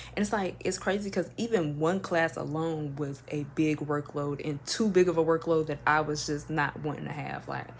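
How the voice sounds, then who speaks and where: The speaker has an American accent and talks at a moderate pace with hardly any pauses and ordinary pitch variation. Noticeable background noise is present. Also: woman, very deep, low pitch for a woman. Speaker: lifestyle vlogger. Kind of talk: personal storytelling vlog. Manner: animated.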